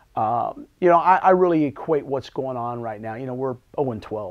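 A man talks at a moderate pace, with ordinary pitch variation and a quiet background. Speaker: head basketball coach. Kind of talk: interview answer. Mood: calm, reflective, optimistic. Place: office. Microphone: lapel.

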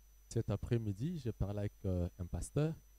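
A man with a dark, mellow tone and fairly low pitch speaks at a fairly slow pace. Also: dry sound with no echo. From DR Congo. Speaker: pastor. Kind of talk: panel discussion. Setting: studio. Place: stage. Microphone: handheld.

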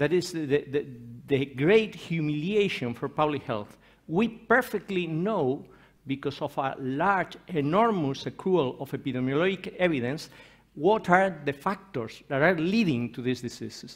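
Fairly high-pitched man with a Spanish accent, fairly slow pace and lively intonation, quiet background. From Spain. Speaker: professor and nutrition researcher; professor. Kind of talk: conference talk. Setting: conference stage with audience. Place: hall.

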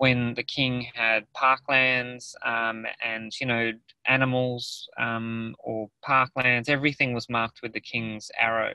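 A man's bright, sharp voice with an Australian accent, monotone and flat, dry with no echo against a quiet background. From Australia, New South Wales. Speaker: artist. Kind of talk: presentation in a webinar. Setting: video call from a car. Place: car. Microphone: video call.

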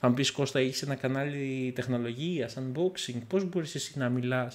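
The pitch barely rises or falls. Delivery is on the slow side. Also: man. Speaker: tech YouTuber. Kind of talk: casual vlog monologue. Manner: calm and gentle; halting. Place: home room.

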